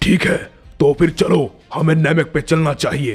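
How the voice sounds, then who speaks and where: Putting on a raspy character voice, a man speaks at a fairly high pitch and a moderate pace over faint background music. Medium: read story. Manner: threatening, aggressive.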